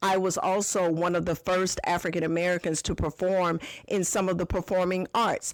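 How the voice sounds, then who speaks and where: A woman at a medium pitch talks at a moderate pace in a monotone, flat delivery with very even loudness. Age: 60s. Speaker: podcast host and business owner. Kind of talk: podcast monologue answering a listener question.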